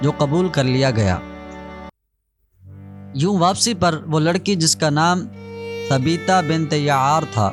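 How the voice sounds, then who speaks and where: Lively intonation over music in the background. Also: man. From Pakistan. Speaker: voice-over artist. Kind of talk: religious story narration.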